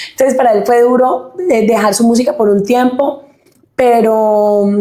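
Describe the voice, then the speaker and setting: A woman speaks at a fairly high pitch and a fairly slow pace. Her loudness stays very even, and her intonation is fairly even. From Colombia, Huila (Pitalito), born in Caquetá. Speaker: singer. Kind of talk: interview testimony.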